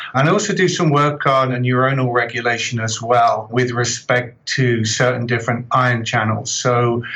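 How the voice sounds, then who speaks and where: A man with an English accent talks at medium pitch and a moderate pace, with ordinary pitch variation, very even loudness and hardly any pauses. Noticeable background noise and audible room echo surround his voice. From southern England. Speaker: professor. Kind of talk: interview.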